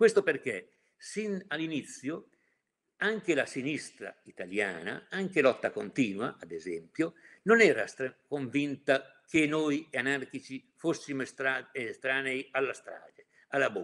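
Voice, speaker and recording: A man talks at a fairly slow pace with a fairly high pitch, vocal fry and very wide pitch swings. His loudness shifts in big swings. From Mantua, northern Italy; northern Italy. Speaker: activist recounting history; witness. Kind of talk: testimony. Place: home room. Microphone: webcam.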